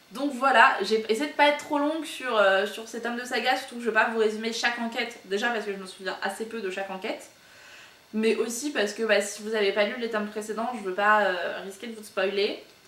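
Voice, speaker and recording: Over noticeable background noise and audible room echo, a woman with a fairly high pitch speaks at a fairly quick pace with ordinary pitch variation and big swings in loudness. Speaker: book YouTuber. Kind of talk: casual vlog monologue. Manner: very fast; hesitant, many fillers.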